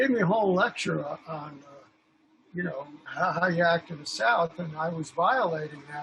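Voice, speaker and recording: Amid noticeable background noise, a man with an American accent speaks at a moderate pace and a high pitch, with big swings in loudness. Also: ordinary pitch variation. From New York. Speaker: film director and photographer. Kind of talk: casual chat.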